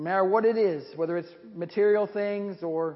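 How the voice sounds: Reading in a natural voice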